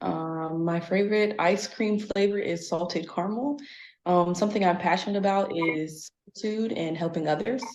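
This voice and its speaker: At a moderate pace, a woman with an American accent and a fairly low pitch speaks with ordinary pitch variation, and audible room echo is present. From US Midwest, Cincinnati, Ohio. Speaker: panel guest, military background. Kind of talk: panel conversation.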